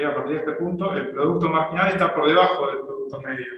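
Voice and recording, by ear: A man talks at a fairly quick pace in a fairly high pitch with a fairly bright tone. Strong room echo surrounds his voice.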